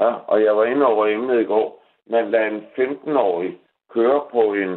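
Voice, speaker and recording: A man speaks at a very slow pace. His medium pitch carries fairly even intonation. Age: 60s. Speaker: caller. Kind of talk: phone-in call. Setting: phone call.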